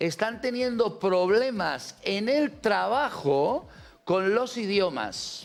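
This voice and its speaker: A man speaks very slowly in a high voice. His intonation is lively. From Catalonia, born in Ciudad Real. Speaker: TV talk show host. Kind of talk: call-in debate show.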